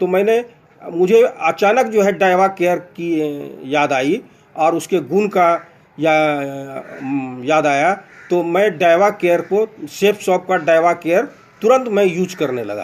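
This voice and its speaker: A man speaks with a high pitch and ordinary pitch variation. Long, frequent pauses break up his speech. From Bihar, India (Bhagalpur). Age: 60s. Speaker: retired bank manager, product user giving testimonial. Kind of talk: testimony. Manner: halting, with fillers.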